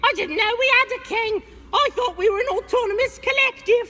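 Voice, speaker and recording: A woman performs a squeaky put-on character voice at an extremely high pitch, with ordinary pitch variation and a moderate pace over light background noise. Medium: stage play. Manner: cheeky, argumentative.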